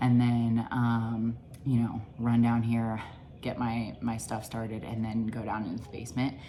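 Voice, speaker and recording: A quiet woman's voice, very deep and low, at a moderate pace with monotone, flat intonation, with audible room echo and music in the background. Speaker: nutrition coach and mom vlogger. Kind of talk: casual vlog narration. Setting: at home. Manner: quiet, hushed.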